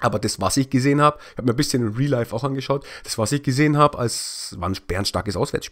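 Talking at a very fast pace, a man uses a medium pitch with ordinary pitch variation. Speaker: football highlights YouTuber. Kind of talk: football match recap commentary. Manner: casual, opinionated.

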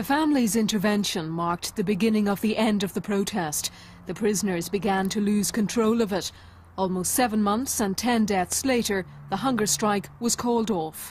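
A woman talks at a moderate pace with a medium pitch and ordinary pitch variation. Her voice is somewhat breathy and her loudness stays very even. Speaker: documentary narrator. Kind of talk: documentary narration, scripted. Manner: measured, grave, even.

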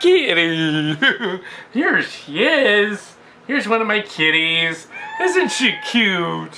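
This man speaks very slowly in a high voice. Light noise sits in the background. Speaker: home video host. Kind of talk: casual vlog chat. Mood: playful, laughing. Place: home room. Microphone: webcam.

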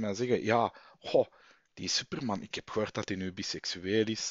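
The background is quiet and the sound is dry with no echo. A man speaks at a moderate pace. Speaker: vlogger and comic fan. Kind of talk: angry rant. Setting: home recording, late, headset mic. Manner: indignant, worked up, sarcastic. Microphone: headset.

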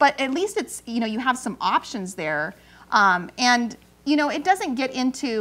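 Speaking with an American accent, a woman moves at a moderate pace through very wide pitch swings. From California. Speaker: talk show co-host and mom; talk show co-host. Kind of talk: casual chat. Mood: candid, personal storytelling. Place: studio.

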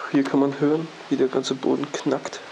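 This is a man speaking. Light background noise sits behind him. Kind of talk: casual exploration commentary.

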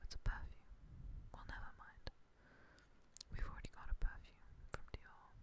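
Someone whispers in a relaxed tone, leaving long, frequent pauses. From England. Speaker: ASMR creator. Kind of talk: ASMR whisper video. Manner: whispered, very quiet; soft-spoken, relaxed. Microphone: studio mic.

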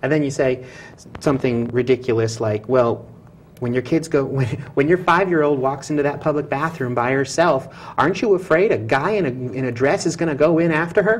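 Over light background noise, a man with a plain, everyday voice speaks at a fairly quick pace and a fairly high pitch, with ordinary pitch variation. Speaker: talk show co-host. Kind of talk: casual chat. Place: studio.

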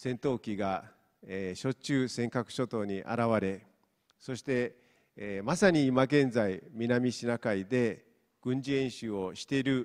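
A man with a Mongolian accent speaks over a quiet background. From Inner Mongolia, China. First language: Mongolian (speaking Japanese). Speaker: professor; university professor. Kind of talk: lecture. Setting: stage with audience. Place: hall. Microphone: handheld.

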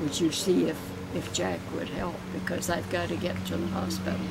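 A woman talks at a fairly slow pace. Loud noise fills the background. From Canada. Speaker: elderly interviewee. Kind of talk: interview answer. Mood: warm, nostalgic storytelling. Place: garden.

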